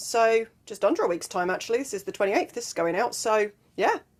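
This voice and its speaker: A woman with an English accent, fairly high in pitch, at a fairly quick pace with ordinary pitch variation. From southwest England. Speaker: life and mindset coach. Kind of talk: motivational talk to camera. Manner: casual, with fillers.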